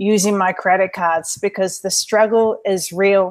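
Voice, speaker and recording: At a fairly slow pace, a woman with a slight New Zealand accent speaks at medium pitch with ordinary pitch variation. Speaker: online entrepreneur, webinar co-host. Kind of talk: webinar presentation. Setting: live online webinar.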